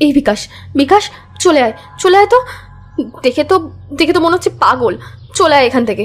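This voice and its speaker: A woman's put-on character voice, high and shaky, with very wide pitch swings, a fairly quick pace, and music in the background. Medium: audio drama. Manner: shaky, stammering.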